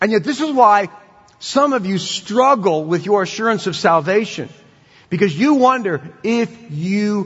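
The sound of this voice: Reading in an unforced voice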